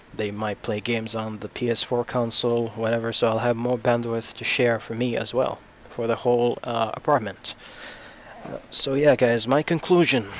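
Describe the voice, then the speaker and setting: A man with a medium pitch keeps a moderate pace while noticeable background noise carries on. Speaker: tech YouTuber. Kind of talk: product review. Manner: halting, with fillers.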